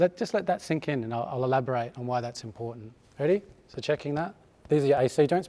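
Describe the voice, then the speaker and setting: With an Australian accent, the speaker races along at a very fast pace, the tone dark and mellow and the intonation lively. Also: man. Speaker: chiropractor giving a talk. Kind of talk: conference talk to live audience. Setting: hall with live audience. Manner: hesitant with fillers.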